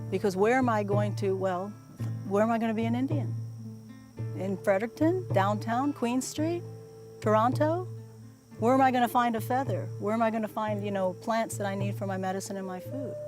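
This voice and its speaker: A woman speaks at a fairly quick pace, with long, frequent pauses. Music plays in the background. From New Brunswick, Canada. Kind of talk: interview answer. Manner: thoughtful, hesitant with fillers.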